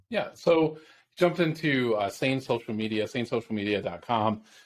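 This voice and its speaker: On a very clean recording with a silent background, a man with an upstate New York accent speaks with lively intonation. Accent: upstate New York American. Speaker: podcast host. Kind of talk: interview.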